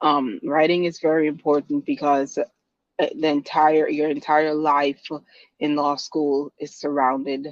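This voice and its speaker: With a Guyanese accent, a woman speaks at a very deep, low pitch and a fairly slow pace in a monotone, flat intonation, the sound dry and close with no echo. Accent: Guyanese Caribbean. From Guyana. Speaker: lawyer. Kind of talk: interview. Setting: podcast.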